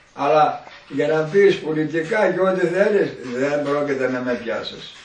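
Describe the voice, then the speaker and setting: A man's high voice, very slow in pace and lively in intonation, over noticeable background noise. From Epirus, Greece. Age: 80s+. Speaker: villager. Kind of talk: oral history interview answer.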